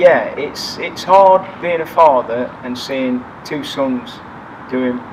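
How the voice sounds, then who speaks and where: Speaking very slowly with an East Midlands accent, a man with a fairly high pitch shows ordinary pitch variation. His loudness swings widely over noticeable background noise. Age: 60s. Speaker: firefighter. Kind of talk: interview.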